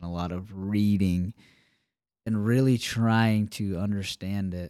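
The recording is very clean, with a silent background. A man with an American accent speaks at a fairly low pitch with fairly even intonation. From Alabama, US South. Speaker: podcast co-host. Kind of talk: casual faith discussion. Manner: halting, many fillers.

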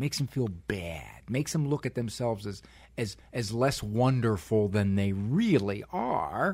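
The man's tone is dark and mellow and somewhat breathy. He talks at a moderate pace. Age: 50s. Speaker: clinical psychologist and radio host. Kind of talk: casual chat. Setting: studio.

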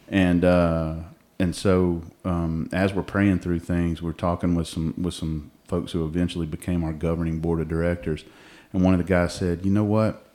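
A man with a Southern US accent speaks in a very deep, low pitch and a dark, mellow tone, his intonation monotone and flat, on a very clean recording with a silent background. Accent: Southern US (Georgia). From Georgia, US South. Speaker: ministry co-founder. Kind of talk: casual chat. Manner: halting, many fillers.

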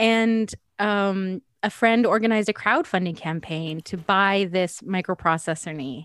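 With a Canadian accent and an unremarkable speaking voice, a woman speaks at a medium pitch with ordinary pitch variation and a fairly slow pace in a very clean recording with a silent background. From Canada, Edmonton. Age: 40s. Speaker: singer-songwriter and author. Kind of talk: interview.

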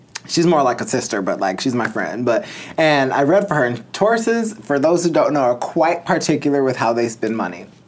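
Noticeable background noise behind a man with an American accent, fairly high pitch, lively intonation and a moderate pace. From US Midwest, northern Illinois. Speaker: crystal and tarot entrepreneur. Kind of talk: casual interview.

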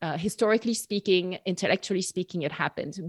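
With a French accent and ordinary pitch variation, a woman speaks on a very clean recording with a silent background and a dry, close sound with no echo. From France, near Bordeaux. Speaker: podcaster and Bible teacher. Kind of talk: casual chat.

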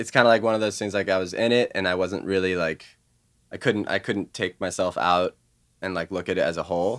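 A man with a very deep, low voice and a Californian accent talks at a fairly quick pace with fairly even intonation. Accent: Californian American. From Los Angeles. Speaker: musician. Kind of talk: casual interview. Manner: halting, many fillers.

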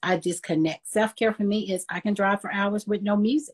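Somewhat breathy, a woman talks at a fairly quick pace in a dry, close sound with no echo. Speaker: life coach and minister. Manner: soft-spoken.

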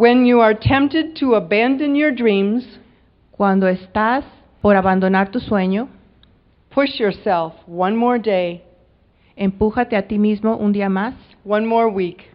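A woman speaks at a very slow pace with ordinary pitch variation and long, frequent pauses. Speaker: interpreter. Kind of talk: live interpretation. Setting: stage with audience.

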